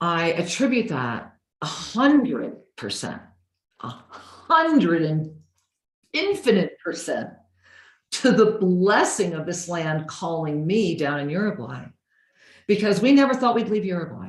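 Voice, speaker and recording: With audible room echo, a woman with a fairly low, somewhat breathy voice speaks in an animated tone at a fairly slow pace, her pitch swinging very widely between long, frequent pauses. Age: 60s. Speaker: spiritual teacher. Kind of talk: interview in video call. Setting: video call.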